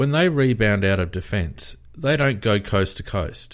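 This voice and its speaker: Here a man talks with an Australian accent. His pace is very slow. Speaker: AFL fan podcast host. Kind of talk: casual sports chat. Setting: live stream with online audience.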